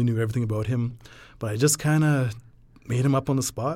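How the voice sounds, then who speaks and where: This man talks very fast with a western Canadian accent at a medium pitch. His recording is very clean, and the background is silent. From western Alberta, Canada (small mountain town). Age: 40s. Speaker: coal miner and writer. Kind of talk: casual interview chat; reading aloud own prose. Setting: in-person studio interview.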